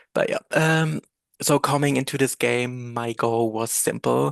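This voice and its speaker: A man with a German accent speaks at a fairly slow pace. The sound is dry and close, with no echo. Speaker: reality game contestant. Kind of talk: prepared speech read from script. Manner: halting.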